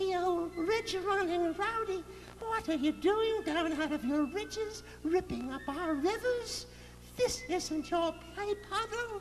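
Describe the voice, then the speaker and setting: A man's put-on character voice at an extremely high pitch and fairly slow pace, over clear background noise. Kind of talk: read story. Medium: read story. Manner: hissing, scolding.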